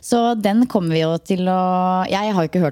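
A woman at medium pitch has a dark, mellow tone and lively intonation. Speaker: podcast host. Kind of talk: casual chat. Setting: at a kitchen table.

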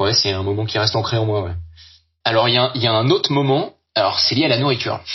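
A man at medium pitch, very fast between long, frequent pauses, with ordinary pitch variation. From Brittany, France (Brest). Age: 30s. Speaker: adventurer, workplace safety officer. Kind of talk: testimony. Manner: halting.

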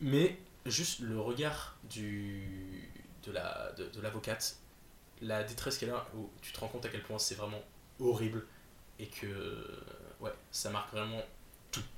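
Somewhat breathy speech comes at a fairly slow pace with long, frequent pauses and audible room echo. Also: man, medium pitch for a man, ordinary pitch variation. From northern France (Nord). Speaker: film student. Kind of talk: casual chat.

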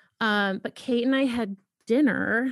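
A woman with an American accent talks at a very slow pace. The sound is dry and close, with no echo. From Boston, US Northeast. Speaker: podcast host and author. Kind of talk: casual chat.

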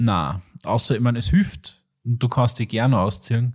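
At a moderate pace, a man talks in a medium-pitched, somewhat breathy voice. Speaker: podcast host. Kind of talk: casual chat. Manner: animated.

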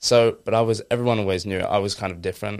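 In an Essex accent, a man rattles along at a very fast pace with monotone, flat intonation. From Essex, England. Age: 20s. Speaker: fitness influencer. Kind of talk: casual interview.

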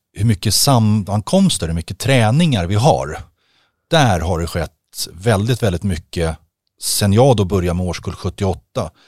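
A man with an ordinary speaking voice, fairly low in pitch, at a moderate pace with lively intonation, in a very clean recording with a silent background and a dry, close sound with no echo. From Stockholm, Sweden. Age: 50s. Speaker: ice hockey equipment manager. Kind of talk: casual chat. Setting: studio.

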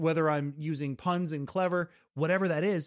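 A man's high-pitched voice at a fairly quick pace, in a very clean recording with a silent background and a dry, close sound with no echo. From Western Canada, British Columbia. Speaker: podcast host. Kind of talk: casual interview chat. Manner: animated.

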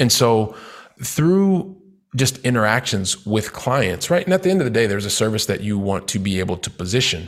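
Speaking fairly quickly with a Midwestern accent, a man uses a medium pitch that swings very widely. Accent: General American (Midwest). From US Midwest, Columbus, Ohio. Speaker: real estate investor and entrepreneur. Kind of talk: interview. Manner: energetic.

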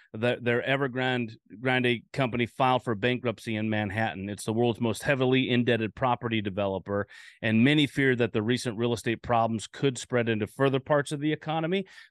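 A man talks at a fairly quick pace in a medium-pitched voice with ordinary pitch variation. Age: 40s. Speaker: crypto podcast host. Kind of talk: casual podcast talk. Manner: hesitant, many fillers.

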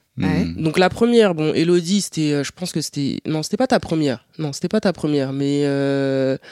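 Dark and mellow in tone, the voice moves at a moderate pace with lively intonation and hardly any pauses, the sound dry and close with no echo. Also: woman, very deep, low pitch for a woman. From France, Paris. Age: 30s. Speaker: podcast guest, younger sister. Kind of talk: casual chat.

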